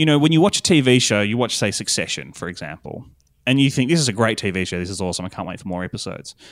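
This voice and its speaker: A man with an Australian accent speaks very fast at a medium pitch with very wide pitch swings, on a very clean recording with a silent background. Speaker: podcast producer. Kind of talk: interview chat.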